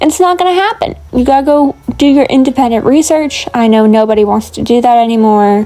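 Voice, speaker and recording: Over noticeable background noise, a woman with a high pitch talks at a moderate pace in an animated tone with lively intonation. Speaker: lifestyle vlogger. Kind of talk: casual chat.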